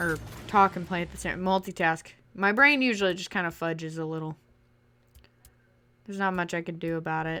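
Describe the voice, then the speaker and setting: A loud woman's voice, fairly low in pitch and bright and sharp in tone, at a fairly quick pace broken by long, frequent pauses. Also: ordinary pitch variation. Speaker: gaming YouTuber. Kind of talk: casual story time over gameplay.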